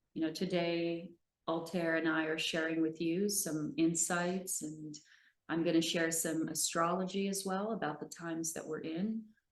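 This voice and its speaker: Audible room echo surrounds speech delivered at a moderate pace with fairly even intonation. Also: woman, fairly low pitch for a woman. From Brazil. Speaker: spiritual teacher and astrologer. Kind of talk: seminar talk. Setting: live seminar with online audience. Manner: hesitant, with fillers.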